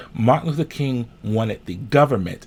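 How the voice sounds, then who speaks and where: A man's somewhat breathy voice shows ordinary pitch variation and moves along at a moderate pace. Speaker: minister and social justice commentator. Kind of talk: Patreon discussion talking to camera about civil rights.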